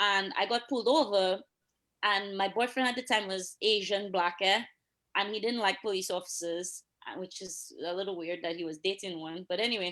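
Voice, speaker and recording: With a Dominican accent, a woman speaks in a bright, sharp tone with ordinary pitch variation. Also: medium pitch for a woman, moderate pace. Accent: Dominican accent, noticeable. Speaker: police officer. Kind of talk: casual chat. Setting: live stream. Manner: animated.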